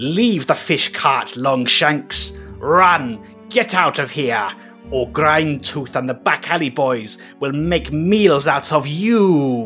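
Put-on character voice from a man, fairly high in pitch, at a very slow pace over clear music in the background. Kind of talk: fluent common speech. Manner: threatening, warning.

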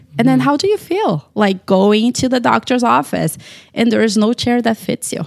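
At a moderate pace, a woman with a Brazilian accent talks at a fairly high pitch with very wide pitch swings, the sound dry and close with no echo. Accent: Brazilian Portuguese accent, noticeable. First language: Portuguese. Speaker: dietitian. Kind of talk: casual chat.

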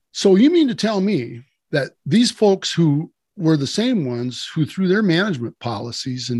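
Over a quiet background, a man with an American accent speaks at a moderate pace, with a fairly high pitch and very wide pitch swings. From US Midwest, southwest Wisconsin. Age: 60s. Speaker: farmer and conservationist. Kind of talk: podcast interview. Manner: halting, many fillers.

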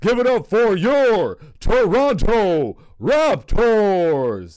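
The put-on character voice moves at a very slow pace. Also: man, high pitch for a man. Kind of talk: sports arena announcer.

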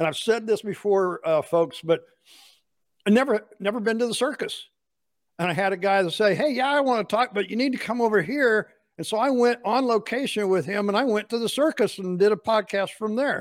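At a fairly quick pace, a man talks in a high pitch with ordinary pitch variation. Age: 60s. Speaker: podcast host. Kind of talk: casual interview chat. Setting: classroom, video call.

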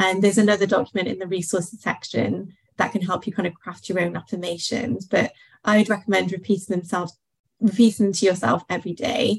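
Speaking at a very fast pace, a woman with a medium-pitched voice shows vocal fry and ordinary pitch variation. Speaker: confidence coach. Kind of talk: workshop talk. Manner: calm.

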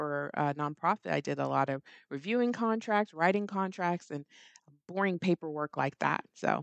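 Her pitch very deep and low, a woman speaks in an animated tone with ordinary pitch variation, the sound dry and close with no echo and the background quiet. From Middle East, Nigerian family. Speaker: estate planning attorney. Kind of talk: interview conversation.

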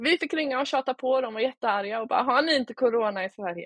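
Her intonation lively, a woman speaks at a fairly quick pace in a plain, everyday voice. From Småland, Sweden (Oskarshamn). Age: 30s. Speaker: e-commerce entrepreneur. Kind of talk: interview.

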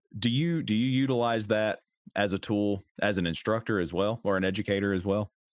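This man has an American accent and a fairly low pitch with ordinary pitch variation. He keeps a moderate pace and very even loudness. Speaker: podcast host and paramedic educator. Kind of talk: casual interview chat. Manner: animated, enthusiastic.

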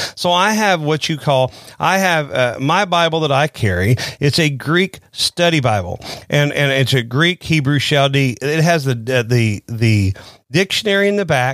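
In a Southern US accent, a man with a fairly high pitch uses lively intonation and very even loudness at a moderate pace, recorded very clean with a silent background and a dry, close sound with no echo. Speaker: pastor. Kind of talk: sermon-style podcast talk. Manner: informal, conversational.

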